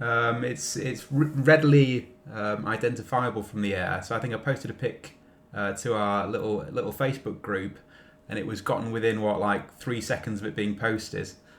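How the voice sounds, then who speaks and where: A man talks in a normal speaking voice at a moderate pace. His pitch is medium, with ordinary pitch variation. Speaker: podcast contributor. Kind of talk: casual chat.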